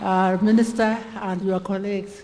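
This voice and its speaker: Music plays in the background as the speaker talks at a moderate pace in a flat monotone. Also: woman. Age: 80s+. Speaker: medical doctor, community health pioneer. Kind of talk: ceremonial speech. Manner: halting, self-correcting.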